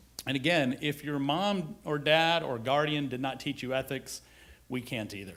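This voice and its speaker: In a very clean recording with a silent background, a man talks at a moderate pace. He has an American accent and ordinary pitch variation. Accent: Southern US, held back. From US South. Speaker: HR executive. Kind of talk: conference presentation.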